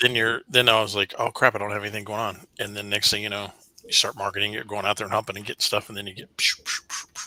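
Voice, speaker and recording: A man with a fairly low pitch and a bright, sharp tone speaks at a very fast pace in a flat monotone. His loudness swings widely, and the sound is dry and close with no echo. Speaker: real estate and mortgage professional. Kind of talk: casual chat. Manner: halting.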